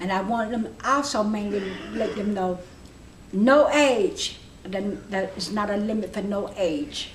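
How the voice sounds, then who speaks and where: A medium-pitched woman's voice amid noticeable background noise and audible room echo. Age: 70s. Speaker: adult education student. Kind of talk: interview. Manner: halting.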